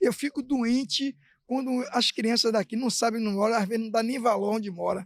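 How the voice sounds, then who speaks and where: On a very clean recording with a silent background and a dry, close sound with no echo, a man talks at a fairly quick pace with an extremely high pitch and ordinary pitch variation. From Brazil, Bahia (Salvador). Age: 60s. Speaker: local resident. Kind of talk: interview.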